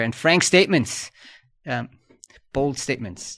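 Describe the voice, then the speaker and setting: A man speaks at a moderate pace. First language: German. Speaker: podcast host. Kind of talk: news discussion podcast.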